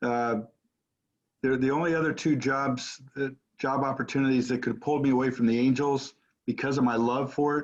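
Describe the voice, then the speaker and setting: Talking at a fairly quick pace, a man holds a medium pitch in a monotone, flat intonation. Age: 60s. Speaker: baseball hall of fame president. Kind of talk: interview. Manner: halting, repeats words.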